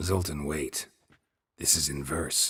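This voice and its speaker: A man's put-on character voice, very deep and low, raspy, with a deadpan tone. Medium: video game. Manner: terse, deadpan.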